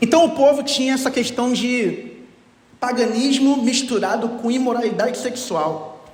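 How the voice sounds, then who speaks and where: Noticeable background noise and audible room echo accompany a man who speaks at a fairly slow pace with an extremely high pitch. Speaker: pastor. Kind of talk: sermon.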